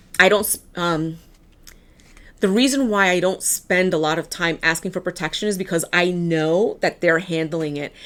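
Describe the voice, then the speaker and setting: On a very clean recording with a silent background, a woman with a New York accent talks at a moderate pace, her fairly low pitch showing ordinary variation. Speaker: tarot card reader. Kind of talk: tarot reading. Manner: casual.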